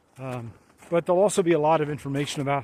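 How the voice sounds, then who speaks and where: A man with an American accent talks at a fairly quick pace. His intonation stays fairly even over noticeable background noise. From US Midwest, northern Illinois (Chicago western suburbs). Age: 60s. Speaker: hiking vlogger. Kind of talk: casual vlog self-introduction. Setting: outdoors on trail. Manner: halting, many fillers.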